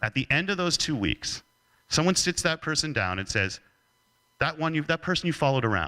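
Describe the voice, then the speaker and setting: On a very clean recording with a silent background and a dry, close sound with no echo, a man speaks at a fairly quick pace in a fairly high pitch, his bright, sharp tone touched with vocal fry, swinging very widely in pitch while his loudness stays very even. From Canada. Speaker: leadership speaker. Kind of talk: keynote talk.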